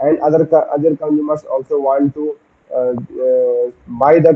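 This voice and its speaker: A man speaks with an Indian accent. His pitch is fairly high and his intonation monotone and flat. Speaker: SSB aspirant giving a practice lecturette. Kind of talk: practice lecturette. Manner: halting, many fillers and restarts.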